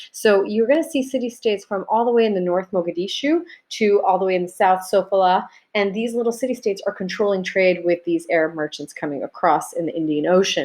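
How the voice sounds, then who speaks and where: Speaking at a very fast pace, a woman uses a medium pitch and lively intonation. The background is quiet. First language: Arabic. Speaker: high school teacher. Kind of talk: recorded video lecture. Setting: self-recorded video. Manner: casual, conversational.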